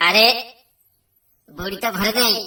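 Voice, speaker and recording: A cartoonish character voice, female-sounding and medium in pitch for a woman. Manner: scheming, muttering to itself.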